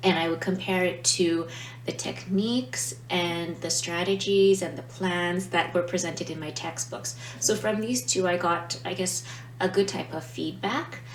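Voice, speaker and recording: With audible room echo and noticeable background noise, a woman speaks at a fairly slow pace, her fairly low voice carrying lively intonation. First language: not Italian. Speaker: language teacher, vlogger. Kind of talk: casual explainer vlog. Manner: hesitant, many fillers.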